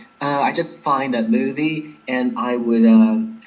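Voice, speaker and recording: With an American accent, a man speaks at a very slow pace, his pitch swinging very widely, amid audible room echo and noticeable background noise. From Inner Mongolia, China. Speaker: exam candidate. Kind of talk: interview. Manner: clear, careful enunciation.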